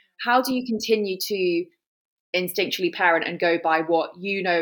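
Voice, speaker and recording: Here a woman has an unremarkable speaking voice, fairly low in pitch. She talks at a fairly quick pace with ordinary pitch variation. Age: 30s. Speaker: podcast host. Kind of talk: casual interview chat.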